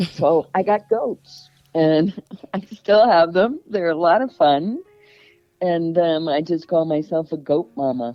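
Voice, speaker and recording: With music playing in the background, a woman with a fairly low pitch speaks very slowly with ordinary pitch variation. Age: 60s. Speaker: adoptee author. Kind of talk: interview.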